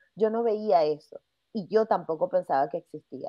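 A woman with a Venezuelan accent and lively intonation at a moderate pace, against a quiet background. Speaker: podcast host; podcast guest. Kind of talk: interview. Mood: engaged, reflective. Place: home room.

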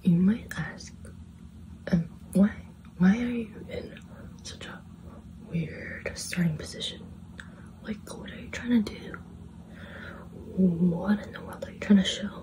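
Whispering, a woman speaks at a fairly slow pace with long, frequent pauses. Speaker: ASMR creator. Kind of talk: whispered ASMR rambling to camera. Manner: whispered, soft-spoken, rambling. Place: home room. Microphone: phone near.

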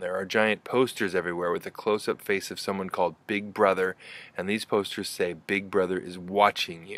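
The sound is dry, with no echo. A man talks at a moderate pace. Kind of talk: lecture. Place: garden. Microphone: phone near.

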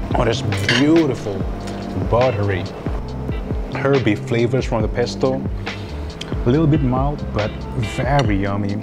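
A man speaks at a moderate pace, leaving long, frequent pauses, while clear music plays in the background. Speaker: food vlogger. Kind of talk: casual food review. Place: cafe. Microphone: lapel.

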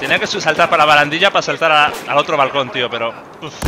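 A man with a Spanish accent and fairly high pitch talks fairly quickly amid noticeable background noise. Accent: Peninsular Spanish. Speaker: gaming YouTuber. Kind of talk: live gameplay commentary. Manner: animated.

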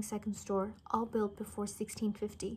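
The speech moves at a fairly quick pace and is somewhat breathy. Light background noise can be heard. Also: woman. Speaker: reader. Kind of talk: story reading aloud. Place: home room. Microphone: phone near.

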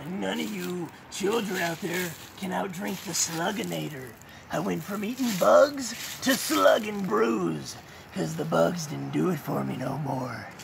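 A man's put-on character voice at a moderate pace, with clear background noise. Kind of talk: wrestling promo. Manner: brash, trash-talking.

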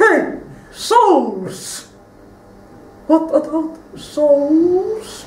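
A cartoonish character voice with high pitch comes through with a slight echo. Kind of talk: live stage ventriloquist show. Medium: puppet.

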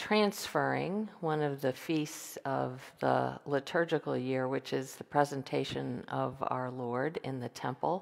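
A woman talks at a fairly slow pace. Her surroundings are quiet. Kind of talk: liturgical welcome and explanation. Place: church. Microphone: headset.

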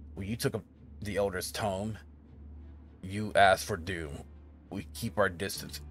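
A man puts on a character voice with a fairly low pitch. He keeps a moderate pace over clear background noise. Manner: stern.

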